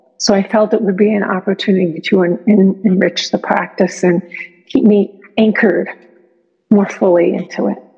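A woman's medium-pitched, ordinary speaking voice, fairly even in intonation, at a moderate pace. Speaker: Zen practitioner sharing retreat experience. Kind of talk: personal testimony.

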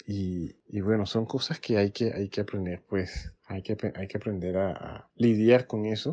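A man in a Panamanian accent, fairly low in pitch with fairly even intonation, at a fairly slow pace with hardly any pauses. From Panama, Colón. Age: 40s. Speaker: music teacher and choir director. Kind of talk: interview. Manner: halting, with repetitions.

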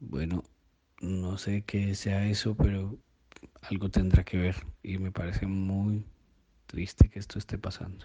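A man's very deep, low voice in a dark, mellow, somewhat breathy tone, monotone and flat, at a fairly slow pace with long, frequent pauses and big swings in loudness. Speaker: listener contributor. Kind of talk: recorded voice message.

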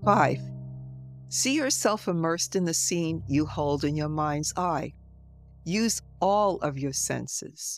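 Someone talks at a very slow pace while music plays in the background. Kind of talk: guided meditation. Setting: solo recording, podcast episode with background music. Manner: slow, calm and soothing, with long pauses; gentle and reassuring.

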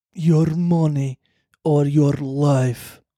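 A put-on character voice delivers its lines with a Russian accent as part of the act. The pitch sits low-to-middle. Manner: menacing.

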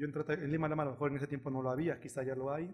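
A man talks at a very fast pace, somewhat breathy, with a fairly high pitch. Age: 30s. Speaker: taekwondo coach. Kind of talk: interview.

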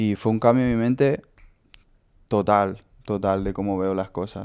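Fairly slow speech is heard on a very clean recording with a silent background. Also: man. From Honduras. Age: 20s. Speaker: skater. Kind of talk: testimony. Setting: host's home. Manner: halting.

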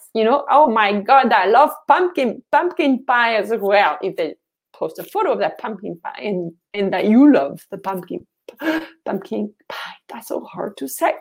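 A woman with a fairly high pitch sounds animated, her voice swinging very widely in pitch. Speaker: social media marketing coach. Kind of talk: livestream tutorial. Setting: live video stream.

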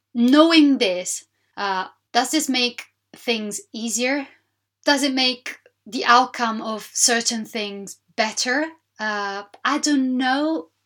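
A woman at a high pitch, speaking at a very slow pace with long, frequent pauses. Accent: Italian. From Sicily, southern Italy. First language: Italian. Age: 30s. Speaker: podcast host. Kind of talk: solo monologue podcast.

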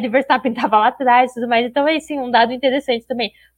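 Her voice is high in pitch, and the woman keeps her intonation fairly even. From southern Brazil, Curitiba. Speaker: motorsport podcast co-host. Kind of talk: casual chat.

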